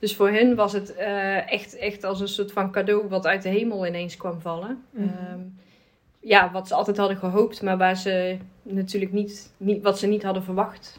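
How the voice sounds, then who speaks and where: Her medium-pitched voice stays monotone and flat as the woman talks at a moderate pace. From Netherlands. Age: 30s. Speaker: adoptee, advocacy group member. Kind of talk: casual conversation.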